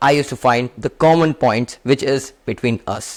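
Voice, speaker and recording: A man with an Indian accent talks at a fairly high pitch with fairly even intonation, in a dry, close sound with no echo. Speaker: self-help youtuber. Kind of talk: motivational talk to camera.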